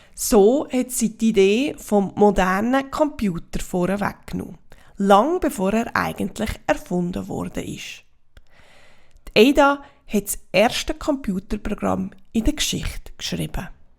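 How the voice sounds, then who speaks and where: A woman's medium-pitched voice with lively intonation and vocal fry, at a fairly slow pace, in a very clean recording with a silent background. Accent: Swiss German. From Switzerland. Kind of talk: children's story reading.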